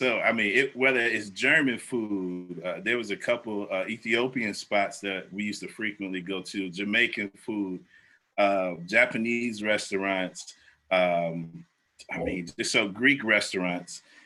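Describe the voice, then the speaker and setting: A man with an American accent, fairly slow in pace and fairly low in pitch, with ordinary pitch variation and a bright, sharp tone. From Ohio, Cleveland. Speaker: food reviewer. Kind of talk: casual interview.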